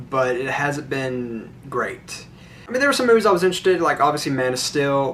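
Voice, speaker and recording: A man speaks with lively intonation and a fairly high pitch over noticeable background noise. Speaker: movie and game vlogger. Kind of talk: unscripted casual vlog. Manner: halting, with fillers and repetitions.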